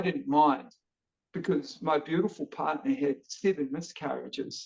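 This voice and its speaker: A man with a New Zealand accent, high-pitched, with very wide pitch swings at a fairly slow pace. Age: 50s. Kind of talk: casual interview chat. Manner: energetic.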